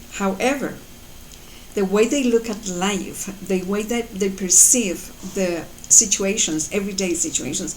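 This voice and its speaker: Moderately paced female speech with ordinary pitch variation, set against audible room echo and noticeable background noise. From Colombia. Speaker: mother and life coach vlogger. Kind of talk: motivational talk to camera. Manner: halting, many fillers.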